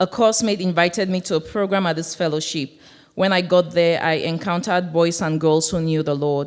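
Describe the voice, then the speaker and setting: In a Cameroonian accent, a woman speaks at a moderate pace with a fairly low pitch and fairly even intonation, in a very clean recording with a silent background. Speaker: church member sharing testimony. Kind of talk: testimony.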